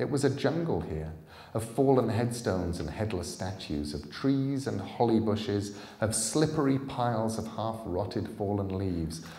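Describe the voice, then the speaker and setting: A man speaks at a moderate pace with a fairly low pitch. Audible room echo surrounds his voice. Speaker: author reading his own book. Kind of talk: live audiobook reading. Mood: calm, suspenseful storytelling. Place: hall. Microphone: podium.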